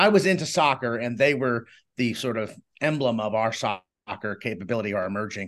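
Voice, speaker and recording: A man speaks in an American accent with a normal speaking voice at a medium pitch. His intonation is lively against a quiet background. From Boston area, Massachusetts. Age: 50s. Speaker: author and journalist. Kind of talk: casual interview.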